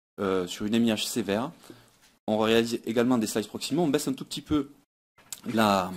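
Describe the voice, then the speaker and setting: A man speaks with a Toulouse accent at medium pitch and ordinary pitch variation. The recording is very clean, with a silent background. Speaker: pediatric dentist. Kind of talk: conference talk. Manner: hesitant, frequent fillers and repetitions.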